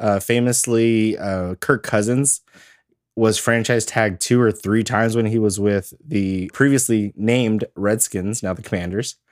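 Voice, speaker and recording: Fairly slow delivery with fairly even intonation, in a dry, close sound with no echo and a very clean recording over a silent background. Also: man, fairly low pitch for a man. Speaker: fantasy football podcast host and league commissioner. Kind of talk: casual chat. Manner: low-energy, sounds tired.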